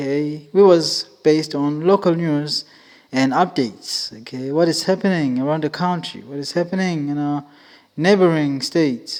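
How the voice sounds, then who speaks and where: A man talks at a moderate pace in a normal speaking voice. The recording is very clean, with a silent background. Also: fairly high pitch for a man, ordinary pitch variation. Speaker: podcast host. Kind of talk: casual podcast monologue.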